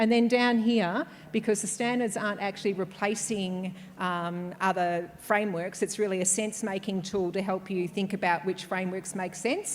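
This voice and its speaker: With fairly even intonation, a woman talks at medium pitch. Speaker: conference speaker. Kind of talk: conference presentation. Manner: fast; hesitant, many fillers.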